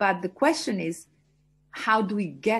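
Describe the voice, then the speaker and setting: Against a quiet background, a woman with an Albanian accent speaks at a fairly slow pace, somewhat breathy, with lively intonation. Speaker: entrepreneur and mentor. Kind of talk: interview. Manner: hesitant with fillers.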